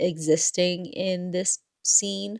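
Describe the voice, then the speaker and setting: Soft-spoken and fairly low in pitch, a woman speaks in a dark, mellow tone. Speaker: writing vlogger, aspiring romance author. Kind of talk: casual vlog talk. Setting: at home at night.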